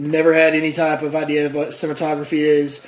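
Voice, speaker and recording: With noticeable background noise behind him, a man with a fairly high pitch speaks at a fairly quick pace in a flat, monotone way. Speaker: YouTube host of a bad-movie review show. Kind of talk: casual talk to camera, comedic movie review.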